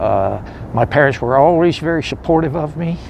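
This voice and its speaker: Over noticeable background noise, a man with a fairly high voice talks at a moderate pace with lively intonation. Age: 60s. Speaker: homeless war veteran. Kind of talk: testimony. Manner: halting.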